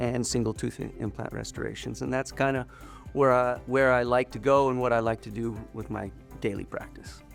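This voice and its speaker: A man speaks at a moderate pace. Music plays behind him. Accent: American. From Utah. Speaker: dentist. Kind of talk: interview monologue. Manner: casual, with some halting repeats.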